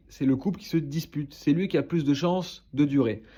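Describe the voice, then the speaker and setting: Fairly high-pitched male speech, dark and mellow in tone. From southern France, Toulouse. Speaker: relationship advice creator. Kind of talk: advice monologue to camera. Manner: casual, hesitant with fillers.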